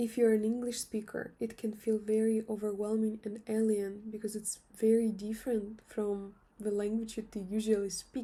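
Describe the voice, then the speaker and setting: A woman speaks at a moderate pace with hardly any pauses, her fairly high voice somewhat breathy, dark and mellow in tone, with monotone, flat intonation. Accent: Russian. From Russia. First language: Russian. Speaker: language teacher. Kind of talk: tutorial.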